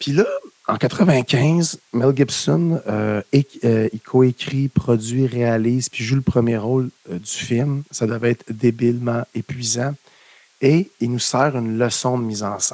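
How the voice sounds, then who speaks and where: Speaking in a Quebec accent at a very slow pace, the voice breaks often with long pauses. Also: man, medium pitch for a man, ordinary pitch variation, dry, close sound with no echo. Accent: Québécois French. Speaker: film podcast co-host. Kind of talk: casual chat.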